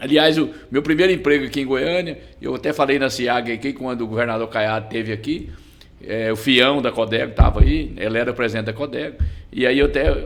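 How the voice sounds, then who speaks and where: Over noticeable background noise, a man talks at a fairly quick pace and medium pitch with ordinary pitch variation. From Brazil, Goiás (Goianésia). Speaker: business association president. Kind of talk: podcast interview.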